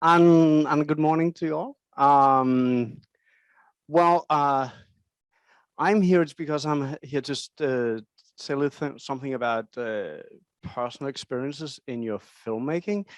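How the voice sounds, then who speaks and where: A man with a Danish accent, fairly high pitch and ordinary pitch variation, at a fairly slow pace with long, frequent pauses, in a dry, close sound with no echo and a quiet background. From Denmark. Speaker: film director. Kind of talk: lecture. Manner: halting.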